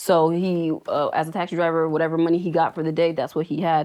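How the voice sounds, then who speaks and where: Here is a woman with an American accent and a plain, everyday voice, pitched fairly low. She talks at a moderate pace against a quiet background. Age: 30s. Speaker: healthcare worker and mother. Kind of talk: interview. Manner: casual, many fillers.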